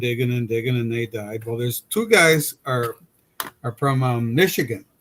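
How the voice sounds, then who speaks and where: At a moderate pace, a man talks. He has an ordinary speaking voice, pitched medium. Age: 60s. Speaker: streamer and hobby modeler, retired. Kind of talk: casual chat.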